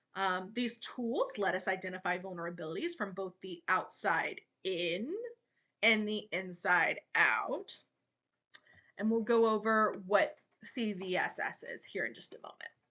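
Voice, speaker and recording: With an ordinary speaking voice, a woman of medium pitch talks at a fairly slow pace, showing ordinary pitch variation and big swings in loudness. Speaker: cybersecurity student. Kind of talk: class presentation. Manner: casual, joking.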